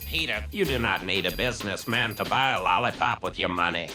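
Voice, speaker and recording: Over clear music in the background, a man uses a put-on character voice with a very deep, low pitch at a fairly quick pace. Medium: comedy sketch. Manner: polite, mild.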